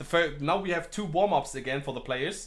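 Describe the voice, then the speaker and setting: A high-pitched male voice with a German accent and ordinary pitch variation. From Germany. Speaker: esports caster. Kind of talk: live commentary. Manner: halting, hesitant.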